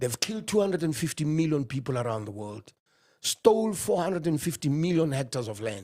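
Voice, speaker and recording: Speaking fairly quickly, a man with a fairly high, somewhat breathy voice makes very wide pitch swings. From South Africa, Johannesburg. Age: 50s. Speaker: economist. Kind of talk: interview. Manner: animated.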